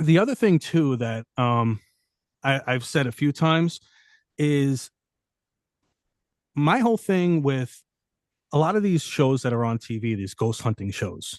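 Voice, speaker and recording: Against a quiet background with a dry, close sound and no echo, a man in a strong New York accent talks fairly slowly in a fairly high voice, with lively intonation and long, frequent pauses. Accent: thick New York. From New York City. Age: 40s. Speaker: correction officer and paranormal investigator. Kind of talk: casual podcast interview. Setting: studio.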